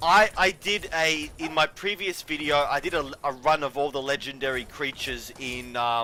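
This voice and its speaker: A man speaks at a moderate pace in a fairly high voice, with ordinary pitch variation and hardly any pauses. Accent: Australian. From Australia. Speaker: gaming streamer. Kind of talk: casual gameplay commentary. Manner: halting, many fillers and restarts.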